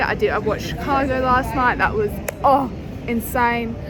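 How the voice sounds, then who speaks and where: A woman's fairly high voice in an Australian accent, with audible room echo and noticeable background noise. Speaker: vlogger. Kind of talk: casual vlog talk to camera. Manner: slow.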